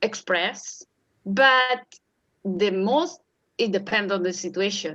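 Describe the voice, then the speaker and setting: In an Italian accent, a woman with a bright, sharp tone and a medium pitch speaks at a very slow pace with lively intonation. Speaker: puppeteer, primary school teacher, art therapy doctoral student. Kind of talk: interview answer. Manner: hesitant, disfluent.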